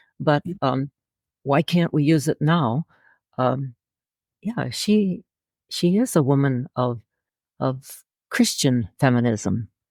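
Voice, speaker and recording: A woman with a very deep, low pitch and a dark, mellow tone speaks at a fairly slow pace. The recording is very clean, dry and close, with a silent background and no echo. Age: 90s. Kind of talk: interview answer. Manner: hesitant, halting.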